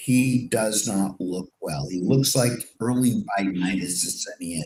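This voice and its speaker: Using an ordinary speaking voice, a man talks at a moderate pace with a fairly low pitch and ordinary pitch variation. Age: 60s. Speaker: political talk show co-host. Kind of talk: casual political talk.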